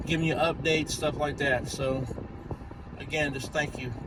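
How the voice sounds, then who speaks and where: Over noticeable background noise and audible room echo, a man with a fairly high pitch talks at a moderate pace in a monotone, flat intonation. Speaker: YouTuber. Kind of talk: casual vlog update. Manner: stuttering, halting; rambling.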